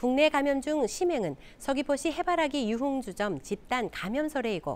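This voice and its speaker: A woman with a high pitch, talking at a moderate pace. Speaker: news anchor. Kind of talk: TV news read.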